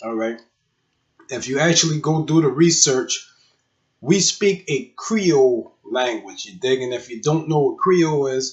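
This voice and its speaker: A man with a South Carolina Lowcountry accent speaks in a fairly high, somewhat breathy voice, his loudness swinging widely. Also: ordinary pitch variation, fairly slow pace. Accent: Gullah Geechee, South Carolina Lowcountry. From Charleston, South Carolina. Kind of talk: casual talk to camera. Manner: casual, slangy.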